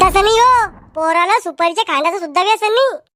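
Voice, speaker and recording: In a cartoonish character voice, a woman talks at a moderate pace with extremely high pitch and lively intonation. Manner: wheedling, persuasive.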